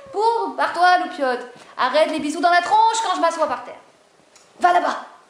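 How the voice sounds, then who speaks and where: With audible room echo and noticeable background noise around her, the woman talks at a moderate pace, her pitch varying in an ordinary way. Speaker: video blogger on spirituality. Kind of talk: casual monologue to camera. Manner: animated.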